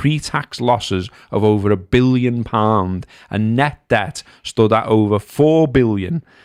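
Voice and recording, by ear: A man speaks at a fairly slow pace with vocal fry. His pitch is fairly low and its variation ordinary. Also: very clean recording, silent background.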